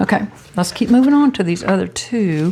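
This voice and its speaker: Lively intonation from a female speaker, noticeable background noise underneath. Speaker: papercraft YouTuber. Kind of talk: tutorial. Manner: chatty.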